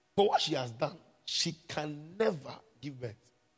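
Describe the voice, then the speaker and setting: With music playing in the background, a man delivers his words with lively intonation at a moderate pace. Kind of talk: fervent prayer. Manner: commanding, loud, call-and-response; urgent, rhythmic, repeated petitions.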